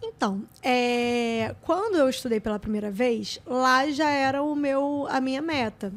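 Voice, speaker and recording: A woman's high voice rises and falls with ordinary pitch variation. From Rio de Janeiro, Méier suburb. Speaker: public auditor. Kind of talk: interview testimony.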